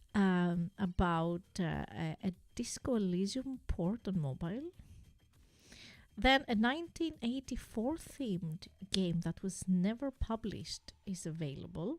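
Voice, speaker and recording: A non-native accent with lively intonation at a fairly slow pace, in a dry, close sound with no echo and a very clean recording with a silent background. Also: woman, medium pitch for a woman. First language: not English. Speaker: gaming streamer. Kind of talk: casual live stream chat. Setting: live stream. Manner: halting, many fillers.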